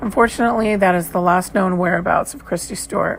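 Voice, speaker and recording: Music plays in the background as a woman talks. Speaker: true crime podcast host. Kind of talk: scripted narration.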